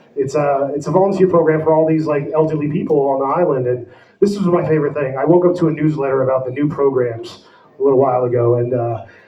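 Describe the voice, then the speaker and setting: A man with an American accent speaks very fast in a fairly high pitch with ordinary pitch variation. Noticeable background noise and audible room echo are present. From New Jersey. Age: 40s. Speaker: comedian. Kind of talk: stand-up. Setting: stage with audience.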